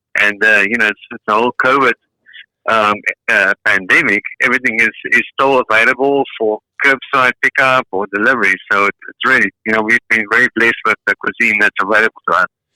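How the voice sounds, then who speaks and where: Someone speaks with a South African accent at a fairly quick pace. The sound is dry and close, with no echo. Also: man. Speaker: caller. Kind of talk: casual chat.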